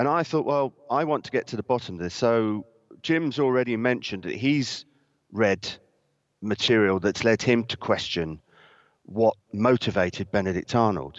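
A man with a British accent, medium pitch, lively intonation and a moderate pace. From Britain. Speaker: historian and author. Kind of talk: interview. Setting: video call.

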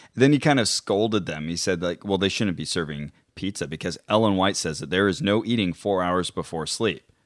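A man's very deep, low voice at a fairly quick pace, with ordinary pitch variation and hardly any pauses, on a very clean recording with a silent background. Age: 30s. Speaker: podcast co-host investigating fringe claims. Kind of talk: casual chat.

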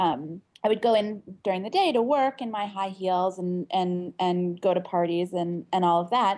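Woman with an unremarkable speaking voice, medium pitch, ordinary pitch variation and moderate pace. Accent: American. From Pittsburgh, Pennsylvania, US. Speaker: author, memoirist. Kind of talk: interview.

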